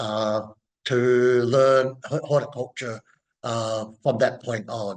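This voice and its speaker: With a New Zealand accent, a man speaks at a very slow pace, leaving long, frequent pauses, his intonation fairly even. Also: medium pitch for a man. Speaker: horticulture professor. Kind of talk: interview. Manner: halting, many fillers.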